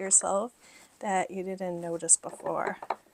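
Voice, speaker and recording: Over noticeable background noise, a woman speaks softly. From Middle East. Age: 40s. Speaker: lifestyle vlogger. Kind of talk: casual vlog talk to camera. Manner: soft-spoken.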